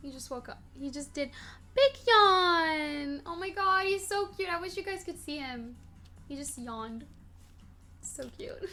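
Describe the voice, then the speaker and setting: Soft-spoken, with an extremely high pitch, a woman speaks at a fairly slow pace over music in the background, her pitch swinging very widely, her loudness shifting greatly and her speech broken by long, frequent pauses. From Morocco. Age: 20s. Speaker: streamer answering chat questions. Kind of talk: casual chat.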